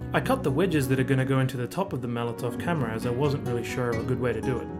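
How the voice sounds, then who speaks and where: Music plays in the background as someone speaks at a very fast pace in an Australian accent. Pitch varies in an ordinary way. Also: man, medium pitch for a man. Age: 30s. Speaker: hobby woodworker. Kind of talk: woodworking project voice-over narration.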